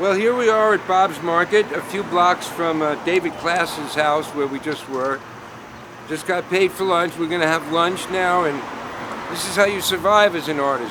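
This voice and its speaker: Over noticeable background noise, a man speaks at a moderate pace. His pitch is high, with ordinary variation. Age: 60s. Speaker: painter. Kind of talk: documentary interview and casual narration.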